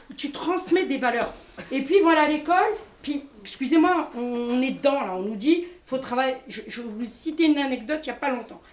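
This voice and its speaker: With big swings in loudness and audible room echo, a high-pitched woman speaks at a moderate pace with ordinary pitch variation. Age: 50s. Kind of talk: public testimony and discussion. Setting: community centre event with audience. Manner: hesitant, repeats words.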